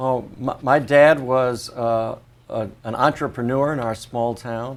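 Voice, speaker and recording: A man's medium-pitched voice with ordinary pitch variation, at a fairly slow pace, amid noticeable background noise. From Connecticut, US. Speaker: vascular surgeon. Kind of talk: oral history interview.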